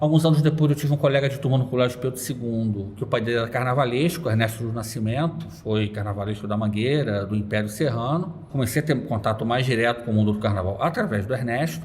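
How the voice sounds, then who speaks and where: Over noticeable background noise, a man talks at a very fast pace with hardly any pauses. His pitch is medium, with ordinary variation. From Rio de Janeiro suburbs, Brazil. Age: 40s. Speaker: carnival blogger and economist. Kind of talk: interview.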